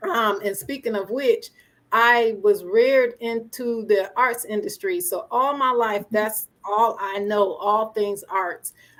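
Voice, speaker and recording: Very slowly and with fairly even intonation, a woman speaks at a fairly high pitch in a Southern US accent. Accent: Southern, country. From Springfield, Massachusetts. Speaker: entrepreneur and producer. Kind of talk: interview, life story.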